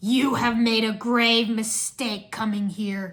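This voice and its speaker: A woman puts on a character voice, fairly high in pitch, raspy and hissing, with a menacing tone. She goes at a fairly slow pace in a monotone, flat delivery. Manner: menacing, hissing.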